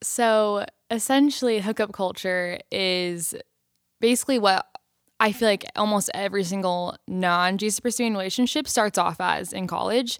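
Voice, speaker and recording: A woman speaks with an American accent in an unremarkable speaking voice. Her pitch is medium with ordinary variation, and her pace is moderate. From Southern California. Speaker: college student. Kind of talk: casual chat.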